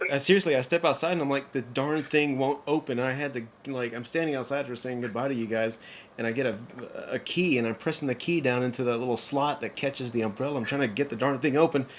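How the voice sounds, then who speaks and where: Very fast male speech at a medium pitch with ordinary pitch variation. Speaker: podcast host. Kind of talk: casual chat. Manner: halting, stutters over names.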